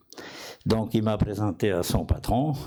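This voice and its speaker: A man's voice with a dark, mellow tone. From outside France. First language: not French (speaking French). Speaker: physician and inventor. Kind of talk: conference talk. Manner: halting.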